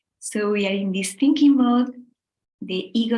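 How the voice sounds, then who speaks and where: A woman speaks with a strong Spanish accent at a fairly high pitch. Her voice is somewhat breathy, with ordinary pitch variation. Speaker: meditation teacher. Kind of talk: guided meditation. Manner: slow; soft-spoken.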